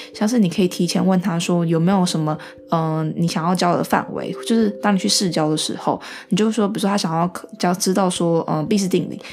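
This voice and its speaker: A woman's very fast speech, fairly low-pitched, with fairly even intonation over noticeable background noise. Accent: Taiwanese. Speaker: podcast host, medical student. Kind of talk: casual solo talk. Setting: at home, also live-streamed.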